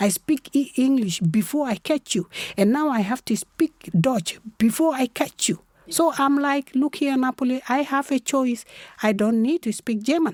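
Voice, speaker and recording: At a moderate pace, a woman speaks with a fairly high pitch and a dark, mellow tone in a very clean recording with a silent background and a dry, close sound with no echo. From South Sudan / Sudan. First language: South Sudanese local language. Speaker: human rights activist. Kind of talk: interview conversation. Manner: animated.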